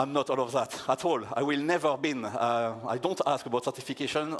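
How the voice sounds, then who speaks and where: Speech in a French accent moves at a fairly quick pace with lively intonation. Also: man. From France. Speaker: security researcher, conference keynote speaker. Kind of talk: conference keynote talk. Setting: stage with audience. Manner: halting.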